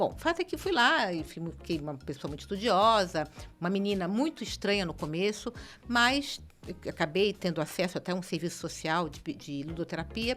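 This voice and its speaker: In a very clean recording with a silent background, a woman talks at a moderate pace with lively intonation, vocal fry and big swings in loudness. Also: medium pitch for a woman. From Brazil, Rio de Janeiro. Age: 60s. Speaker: city councillor. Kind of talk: podcast interview.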